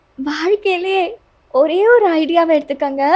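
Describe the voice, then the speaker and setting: A put-on character voice, husky and extremely high-pitched, moves along at a fairly slow pace. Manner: breathy, romantic.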